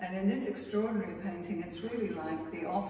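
A woman speaks with fairly even intonation amid audible room echo and clear background noise.

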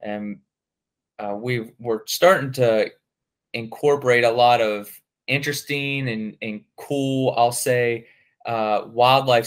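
Using a normal speaking voice, a man talks at medium pitch with fairly even intonation. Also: very clean recording, silent background. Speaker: forester. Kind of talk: casual interview.

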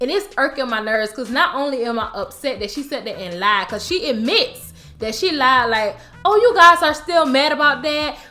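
Using a raised, projected voice, a woman speaks at a moderate pace with very wide pitch swings. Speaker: TV show recap vlogger. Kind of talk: casual vlog chat. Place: home room.

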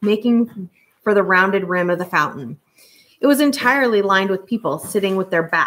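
With ordinary pitch variation, the speaker reads aloud in a natural voice over a quiet background.

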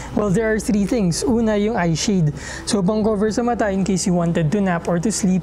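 A man's high voice with ordinary pitch variation, fairly quick pace and light background noise. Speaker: travel vlogger. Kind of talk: casual review talk to camera. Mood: friendly, upbeat. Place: home room. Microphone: lapel.

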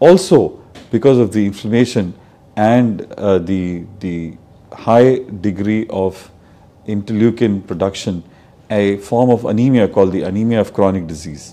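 A plain, everyday voice. It moves at a moderate pace with ordinary pitch variation. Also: man, fairly low pitch for a man. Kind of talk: medical explainer to camera. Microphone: lapel.

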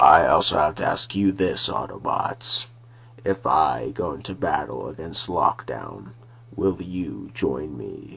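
Fairly low-pitched man at a fairly slow pace, with light background noise. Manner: solemn, speechlike.

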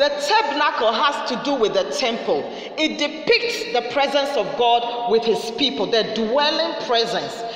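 A woman talks at a fairly slow pace. Her pitch is high, and there is audible room echo. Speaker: preacher. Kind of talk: sermon. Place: studio.

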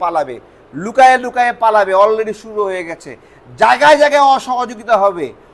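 A man with an animated tone and ordinary pitch variation. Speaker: YouTube political commentator. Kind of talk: political commentary monologue.

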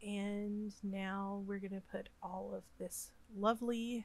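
A woman with an American accent speaks at a very slow pace. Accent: Southern US, comes out when upset. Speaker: Sims gaming YouTuber. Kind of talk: gameplay voiceover commentary. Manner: halting, frequent fillers and repeats.

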